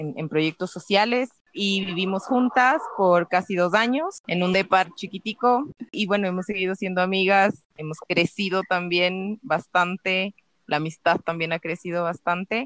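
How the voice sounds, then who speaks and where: Speaking fairly slowly at medium pitch with ordinary variation, a woman uses a normal speaking voice in a dry, close sound with no echo. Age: 30s. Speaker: podcast co-host. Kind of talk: casual chat.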